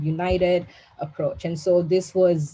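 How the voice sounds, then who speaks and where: A woman's fairly low, somewhat breathy voice carries a dark, mellow tone. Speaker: policy analyst, panel speaker. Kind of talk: webinar presentation. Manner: fast.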